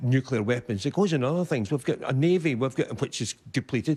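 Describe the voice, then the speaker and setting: Lively intonation marks this voice with a Scottish accent. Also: man. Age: 70s. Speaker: audience member. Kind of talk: audience question at televised debate. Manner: halting.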